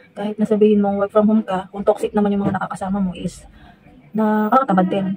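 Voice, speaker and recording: Over noticeable background noise, a soft-spoken woman at medium pitch talks at a fairly quick pace with fairly even intonation. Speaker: vlogger, chat moderator. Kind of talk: casual vlog talk. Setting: at home near the gate, outdoors nearby. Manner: hesitant, many fillers.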